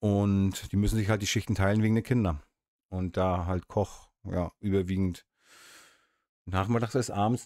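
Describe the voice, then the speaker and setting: A man's dark, mellow voice, fairly low in pitch and very even in loudness, at a moderate pace with long, frequent pauses, in dry sound with no echo against a quiet background. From Mecklenburg coast, northeast Germany. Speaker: YouTuber, urban explorer; channel host. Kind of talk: casual livestream chat; casual talk show chat. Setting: home office livestream. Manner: chatty, hesitant with fillers. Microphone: studio mic.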